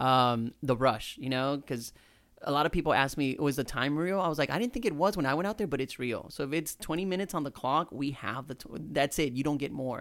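In an unremarkable speaking voice, a man talks at a fairly quick pace with fairly high pitch and ordinary pitch variation. The recording is very clean, with a silent background. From Houston, Texas (born in Mexico, moved at seven). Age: 30s. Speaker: English teacher and chef. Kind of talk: casual chat.

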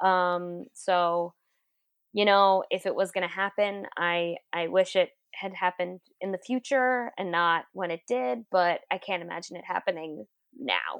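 A woman with an American accent has a normal speaking voice at a medium pitch. Her pitch varies in an ordinary way, in a dry, close sound with no echo. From Queens, New York City. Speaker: comedian and writer. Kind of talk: casual interview chat. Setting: remote call.

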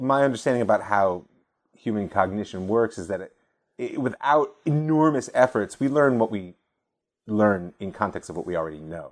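In an American accent, a man with an unremarkable speaking voice talks at a moderate pace and medium pitch, with lively intonation and big swings in loudness, on a very clean recording with a silent background. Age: 40s. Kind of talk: conversational interview about politics and Judaism.

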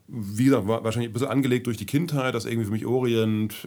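Very rapid male speech with normal rises and falls in pitch. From Germany, grew up in several places. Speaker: travel lecturer on Syria. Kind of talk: casual interview.

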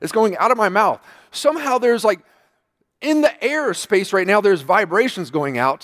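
A man's high voice at a fairly quick pace, with very wide pitch swings, on a very clean recording with a silent background. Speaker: preacher. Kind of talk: sermon. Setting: church.

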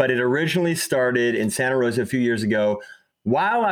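A normal speaking voice at a fairly quick pace, with lively intonation. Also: man. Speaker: podcast host.

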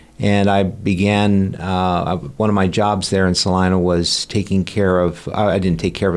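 A man with a Midwestern American accent speaks at a moderate pace in a very deep, low voice. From Kansas, US. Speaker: family physician. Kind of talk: interview.

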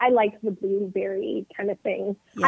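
A woman with a Californian accent, fairly high-pitched, with ordinary pitch variation and a moderate pace. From US West Coast, northern California (707 area). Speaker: union representative. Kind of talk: casual chat.

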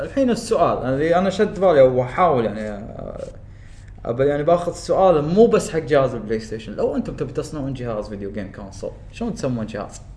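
Against noticeable background noise, a man with a fairly high voice talks at a fairly quick pace, his pitch swinging very widely. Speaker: YouTuber. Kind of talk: casual chat.

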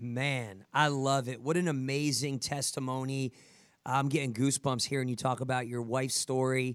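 This man has an American accent and a medium pitch. He talks at a moderate pace. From New Jersey, US. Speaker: podcast host and fitness coach for first responders. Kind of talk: motivational podcast interview. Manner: animated.

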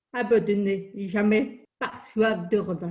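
Very slowly, a woman speaks with fairly even intonation in a dark, mellow, somewhat breathy tone. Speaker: deaf lawyer and motivational speaker. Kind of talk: interview.

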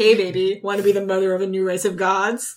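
In a put-on character voice, a female-sounding speaker talks very fast at a middle pitch with monotone, flat intonation. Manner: seductive, sinister.

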